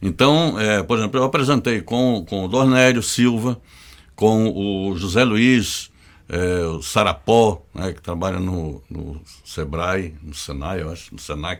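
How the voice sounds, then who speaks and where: He keeps a fairly slow pace. This man's intonation is lively. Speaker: journalist. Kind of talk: casual interview.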